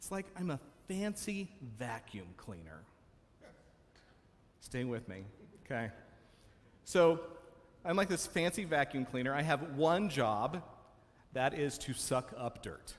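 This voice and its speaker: Speaking at a fairly slow pace with long, frequent pauses, a man shows vocal fry, very wide pitch swings and big swings in loudness. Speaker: minister. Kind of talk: sermon. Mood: light, humorous. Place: church.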